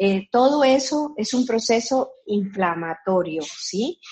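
The voice is somewhat breathy, moving at a very slow pace with lively intonation. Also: woman. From Colombia. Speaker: physician. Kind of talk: interview. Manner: halting, with many fillers.

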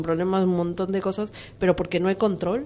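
A woman's dark, mellow voice at a medium pitch, moving at a fairly quick pace. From Argentina. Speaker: radio panelist. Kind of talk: radio discussion.

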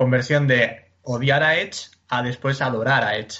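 A man with a fairly high pitch speaks at a fairly slow pace in a plain, everyday voice. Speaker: podcast co-host. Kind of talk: casual chat. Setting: recording from home during quarantine.

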